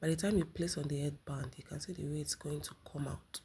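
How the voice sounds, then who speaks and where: A somewhat breathy woman's voice, very deep and low in pitch, with ordinary pitch variation. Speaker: sewing tutorial creator. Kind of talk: tutorial.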